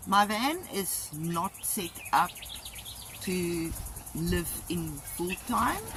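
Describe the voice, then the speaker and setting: A woman speaks in a South African accent at a fairly low pitch, with music playing in the background. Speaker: vlogger. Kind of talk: video tour. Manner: casual with fillers.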